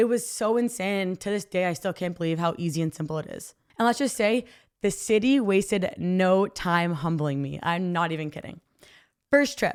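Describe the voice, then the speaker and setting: A woman with a Canadian accent, medium pitch, lively intonation and an animated tone, at a moderate pace, on a very clean recording with a silent background. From Canada, southwestern Ontario. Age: 20s. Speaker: podcast host and college athlete. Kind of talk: solo podcast monologue. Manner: casual, animated.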